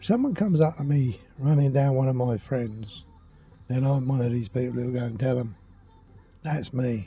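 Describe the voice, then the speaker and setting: A man with a medium pitch and a dark, mellow tone speaks at a moderate pace in a somewhat breathy voice. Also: ordinary pitch variation. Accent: southern English. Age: 60s. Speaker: vlogger. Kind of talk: casual vlog monologue. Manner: emphatic.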